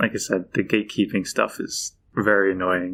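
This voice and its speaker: With a Philadelphia accent, a man speaks at a moderate pace in a fairly low pitch. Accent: Philadelphia American. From Philadelphia, US. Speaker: football fan, library patron. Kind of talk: casual podcast chat. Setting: podcast recording.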